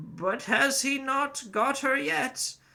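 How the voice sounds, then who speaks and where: In a put-on character voice, a man pitches himself extremely high. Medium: read story. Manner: ominous, gossiping.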